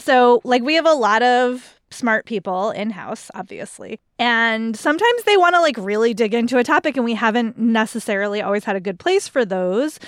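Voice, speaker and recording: A woman's ordinary speaking voice, fairly high in pitch, with lively intonation, a moderate pace and hardly any pauses. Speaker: guest host. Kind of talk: casual chat.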